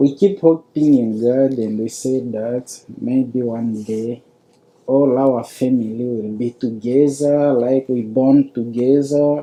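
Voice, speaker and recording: This speaker talks at a very slow pace with a non-native accent. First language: not English. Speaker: refugee. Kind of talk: testimony. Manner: halting.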